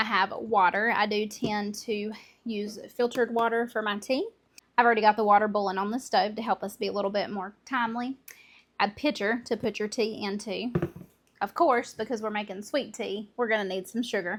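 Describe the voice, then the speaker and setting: With an American accent, a woman speaks at a fairly quick pace in a fairly high pitch, her intonation fairly even. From Southern United States. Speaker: homemaker. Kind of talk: casual cooking talk to camera.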